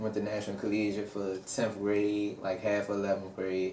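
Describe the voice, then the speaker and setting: A man with a fairly low voice speaks in a flat monotone, with audible echo from the room. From Washington DC. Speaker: rapper. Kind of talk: interview.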